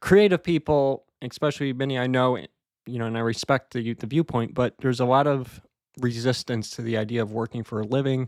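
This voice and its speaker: On a very clean recording with a silent background, a man uses a normal speaking voice at a medium pitch, talking at a fairly quick pace with ordinary pitch variation. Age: 20s. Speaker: Toastmasters club member. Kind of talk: practice speech. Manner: conversational, some filler words.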